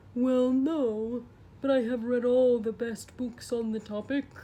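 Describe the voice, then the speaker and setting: A female-sounding put-on character voice speaks fairly slowly at a high pitch. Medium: read story. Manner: polite, mild.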